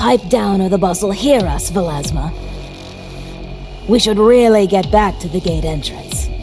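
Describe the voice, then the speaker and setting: Music plays clearly in the background. Over it comes a cartoonish character voice. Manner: hushed, bickering.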